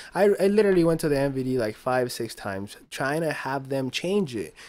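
A man speaks at a moderate pace with a Spanish accent. His intonation is lively. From Mexico (Chihuahua). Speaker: podcast guest. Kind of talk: casual chat. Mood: relaxed, comedic. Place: studio. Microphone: studio mic.

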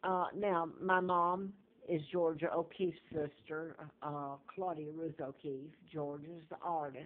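Fairly low in pitch, a woman with a Southern US accent speaks at a fairly slow pace with fairly even intonation. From US South. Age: 70s. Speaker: video blogger. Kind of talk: personal monologue about claims. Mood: earnest, conspiratorial. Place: home room. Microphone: phone near.

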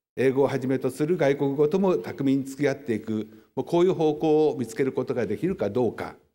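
A man with a dark, mellow tone and a fairly high pitch talks at a fairly quick pace with ordinary pitch variation against a quiet background. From Japan. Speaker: historian; lecturer. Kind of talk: lecture. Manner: formal. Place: hall. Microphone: podium.

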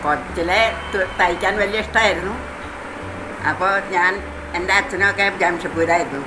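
The voice has fairly even intonation, heard over noticeable background noise. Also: woman. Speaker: embroidery and handicraft maker. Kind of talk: interview answer. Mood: cheerful, reminiscing. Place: home room. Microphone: phone near.

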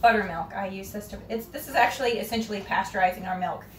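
Against noticeable background noise, a woman talks with ordinary pitch variation. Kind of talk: tutorial. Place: kitchen.

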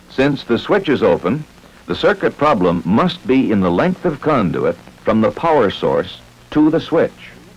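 The voice moves at a fairly slow pace with very even loudness. Noticeable background noise is present. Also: man. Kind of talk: vintage training film narration. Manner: formal, measured, authoritative; clear, even, deliberate pacing.

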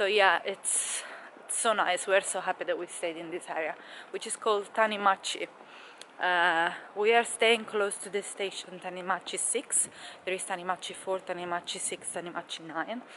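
At a moderate pace and with fairly even intonation, a woman speaks over light background noise. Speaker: travel vlogger. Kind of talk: casual vlog chat. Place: street. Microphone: phone near.

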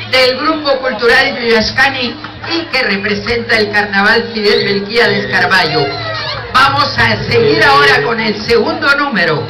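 The speech moves at a fairly slow pace. Music plays clearly in the background. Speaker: event announcer. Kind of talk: event announcing. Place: street.

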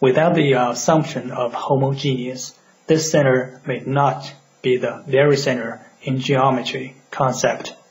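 Noticeable background noise sits behind a man talking at a fairly slow pace. His medium-pitched voice stays monotone and flat. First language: non-native English speaker. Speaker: urban planning educator. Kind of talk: educational lecture.

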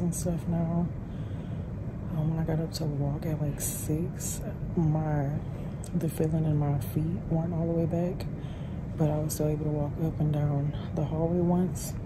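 A woman's tired, strained voice at a fairly slow pace with long, frequent pauses over loud background noise. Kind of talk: casual vlog chat. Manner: tired, strained recovering voice. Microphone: phone near.

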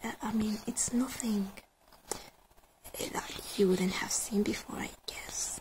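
She speaks in a whisper. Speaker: ASMR content creator. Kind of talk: casual commentary while browsing a page. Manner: whispered, soft-spoken, reflective.

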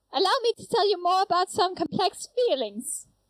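An extremely high-pitched, put-on character voice moving at a moderate pace. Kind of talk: comic overacting. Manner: loud, pompous, theatrical.

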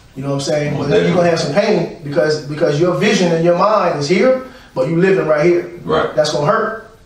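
A man talks at a very fast pace. Light background noise and audible room echo are present. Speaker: guest, trainer. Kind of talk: interview answer. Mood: reflective, earnest. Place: studio.

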